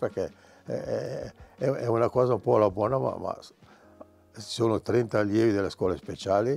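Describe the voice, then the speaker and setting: Moving at a fairly quick pace, the voice has a dark, mellow tone and ordinary pitch variation. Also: man. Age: 80s+. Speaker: artist. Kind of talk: casual chat. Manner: halting.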